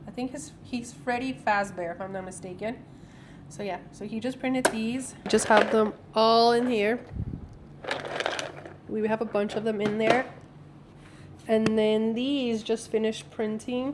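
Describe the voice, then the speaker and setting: The speaker talks at a fairly slow pace in a relaxed tone, with fairly even intonation and long, frequent pauses. Loudness swings widely over noticeable background noise. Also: woman, fairly high pitch for a woman. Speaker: small business owner. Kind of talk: casual vlog talk to camera. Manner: relaxed, chatty.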